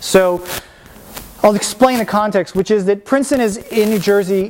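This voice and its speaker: Through noticeable background noise, a man talks at a moderate pace in a high pitch with fairly even intonation. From Washington DC, US. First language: Spanish. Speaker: painter. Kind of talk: artist talk. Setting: lecture room with audience. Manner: casual, many fillers.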